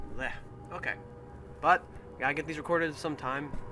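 Talking at a fairly quick pace, a man with a fairly high pitch is heard over noticeable background noise. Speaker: gaming video creator. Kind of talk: let's play commentary. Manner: animated.

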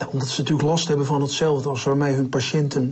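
A man's voice comes through with light background noise behind it. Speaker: interviewee. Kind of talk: interview answer. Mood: wry, joking, candid. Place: home room. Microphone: lapel.

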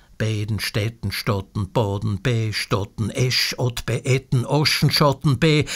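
A man with a Viennese accent. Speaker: poet. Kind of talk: sound poetry reading.

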